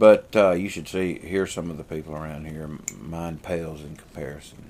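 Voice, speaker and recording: In a strong Southern US accent, a man with a very deep, low pitch speaks at a moderate pace, his intonation fairly even and his loudness swinging widely. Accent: heavy southern US. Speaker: vlogger and pastor. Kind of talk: casual vlog chat. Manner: rambling with many fillers.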